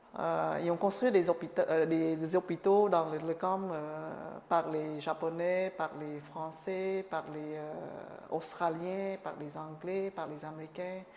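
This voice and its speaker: The woman talks at a very slow pace. Her pitch is fairly low. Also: big swings in loudness. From Cambodia. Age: 50s. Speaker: refugee sharing life story. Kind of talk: oral history interview. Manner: halting, many hesitations and repetitions.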